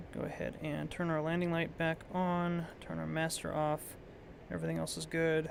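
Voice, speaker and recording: A man talks in a relaxed tone at a moderate pace. Echo from the room is audible. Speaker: flight sim streamer. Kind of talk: live gameplay commentary. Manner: casual, relaxed.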